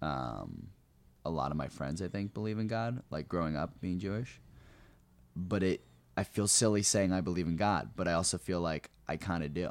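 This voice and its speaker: A man with a very deep, low voice and an American accent, lively intonation, a moderate pace, long and frequent pauses, on a very clean recording with a silent background. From New Jersey. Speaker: comedian. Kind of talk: casual chat.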